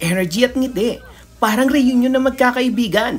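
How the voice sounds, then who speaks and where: With an unremarkable speaking voice, a woman talks at a fairly quick pace using lively intonation. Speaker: vlogger. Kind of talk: scripted narration. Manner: upbeat.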